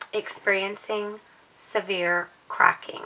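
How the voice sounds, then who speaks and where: Noticeable background noise runs under a woman talking at a very slow pace. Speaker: handbag reviewer. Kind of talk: casual vlog. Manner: hesitant, many fillers.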